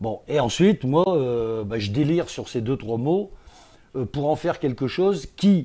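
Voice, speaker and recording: A man's fairly high, dark and mellow voice, with lively intonation at a fairly slow pace. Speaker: regional radio presenter; stage performer. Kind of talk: interview answer.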